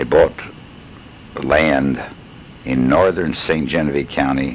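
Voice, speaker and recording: A man with an American accent speaks at a very deep, low pitch and a fairly slow pace. There is noticeable background noise. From Missouri, USA. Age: 70s. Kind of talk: personal life story recording. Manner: hesitant, conversational.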